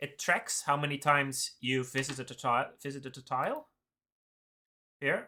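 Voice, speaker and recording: A man with a Dutch accent speaks at medium pitch and a moderate pace, his bright, sharp tone held to fairly even intonation in a very clean recording with a silent background. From Netherlands. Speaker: game developer streamer. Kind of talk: live coding stream chat. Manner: hesitant, many fillers.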